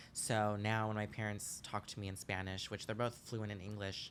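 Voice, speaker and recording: A man is speaking. His pace is fairly quick. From Los Angeles, California. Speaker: drag performer. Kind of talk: casual chat. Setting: living room.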